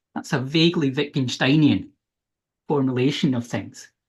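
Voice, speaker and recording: A somewhat breathy voice with a Scottish accent. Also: man. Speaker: philosophy researcher. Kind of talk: academic talk.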